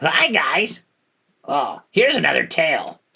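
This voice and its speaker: A fairly high-pitched, put-on character voice. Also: moderate pace. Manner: greeting in a put-on voice.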